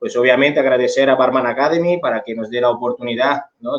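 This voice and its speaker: The speaker has an Italian accent and a fairly quick pace. Intonation stays fairly even. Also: man. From Italy. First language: Italian (speaking Spanish). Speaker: bartender and bar management instructor. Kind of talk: online seminar talk.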